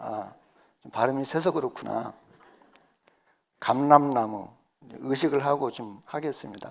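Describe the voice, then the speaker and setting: A man's medium-pitched voice at a fairly slow pace, with long, frequent pauses, big swings in loudness, ordinary pitch variation and a very clean recording with a silent background. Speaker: pastor. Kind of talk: sermon. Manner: halting, with self-corrections.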